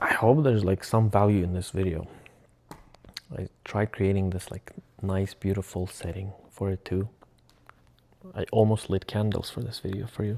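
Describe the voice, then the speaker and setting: A man with a Russian accent speaks in a dark, mellow tone at a fairly low pitch, his intonation fairly even. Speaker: vlogger. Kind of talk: casual vlog monologue. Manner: halting, self-correcting.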